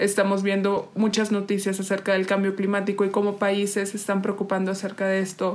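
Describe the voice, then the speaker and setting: A woman of medium pitch speaks at a fairly quick pace in a monotone, flat intonation with very even loudness. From Oaxaca, Mexico. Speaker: podcast co-host, renewable energy engineer. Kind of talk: casual chat. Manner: halting, many fillers.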